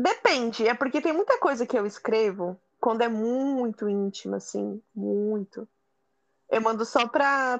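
A woman speaks at a fairly high pitch and a fairly slow pace, with ordinary pitch variation. The sound is dry and close, with no echo. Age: 20s. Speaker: podcast guest. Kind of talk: casual chat. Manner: animated.

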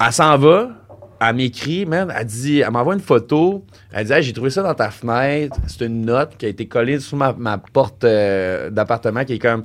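Over noticeable background noise, a man with a Quebec accent talks at a moderate pace with lively intonation. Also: medium pitch for a man. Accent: Québécois French. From Quebec City area (Val-Bélair). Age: 30s. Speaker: comedian. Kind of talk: casual chat.

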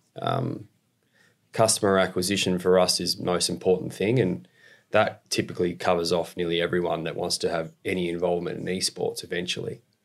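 A man with a very deep, low pitch and an Australian accent talks very fast with ordinary pitch variation, broken by long, frequent pauses. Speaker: esports company executive and investor. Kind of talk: casual interview.

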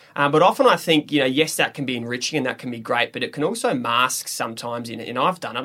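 Very fast speech from a man at a medium pitch, with an Australian accent. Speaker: podcast host, army officer. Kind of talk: casual chat.

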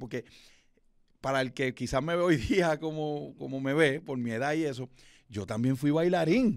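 A man of medium pitch has a normal speaking voice. He keeps a moderate pace and ordinary pitch variation. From Puerto Rico, Fajardo (east coast). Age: 40s. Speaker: radio announcer and event emcee. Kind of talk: interview. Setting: recording studio.

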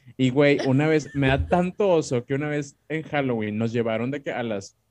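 A man speaks at a fairly quick pace in a medium pitch, with ordinary pitch variation and a dry, close sound that has no echo. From Monterrey, Mexico. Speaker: podcast co-host. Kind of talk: casual chat. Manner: animated.

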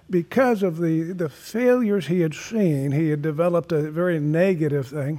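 A high-pitched man at a moderate pace, with ordinary pitch variation and hardly any pauses. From moved across many US states as a child. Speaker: retired pastor. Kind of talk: casual chat.

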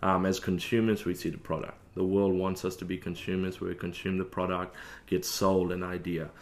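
In an Australian accent, a man with a very deep, low pitch speaks at a moderate pace in a monotone, flat intonation. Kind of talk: casual interview chat. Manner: hesitant with many fillers.

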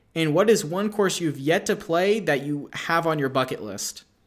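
Moving at a moderate pace, a man with an American accent speaks in a high pitch with lively intonation. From Kansas. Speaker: podcast host. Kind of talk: casual interview.

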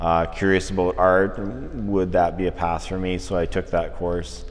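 Very deep and low in pitch, a man with a Canadian accent speaks at a moderate pace. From northern Alberta, Canada. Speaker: visual artist. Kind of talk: casual interview. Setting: art gallery.

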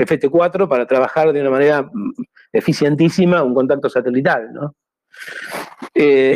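The man speaks at a moderate pace. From Argentina. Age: 60s. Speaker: amateur radio operator. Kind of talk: talk with slides. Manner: halting, repetitive.

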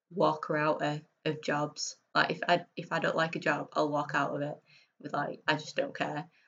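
With a very deep, low pitch, a woman talks at a fairly slow pace. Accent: Yorkshire. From northern England, Bradford. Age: 30s. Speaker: freelance illustrator and graphic designer. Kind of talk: casual interview chat.

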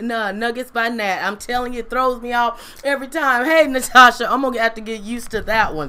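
Her voice is high-pitched for a woman, bright and sharp, with an animated tone, ordinary pitch variation and a moderate pace. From US South, Mississippi Delta. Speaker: online preacher / inspirational speaker. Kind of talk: livestream sermon.

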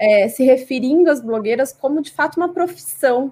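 A woman with a high pitch at a moderate pace. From Brazil, Cuiabá, Mato Grosso. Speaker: communication researcher and journalist. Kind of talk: interview. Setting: live stream.

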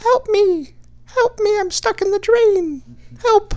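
Someone uses a put-on character voice at an extremely high pitch. The pace is fairly slow. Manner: pleading, panicked.

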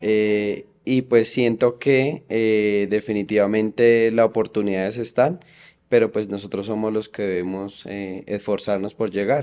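With fairly even intonation, a man talks in a fairly low voice that has a dark, mellow tone. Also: fairly slow pace. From Colombia, Boyacá. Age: 30s. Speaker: oncology nurse. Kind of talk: interview conversation.

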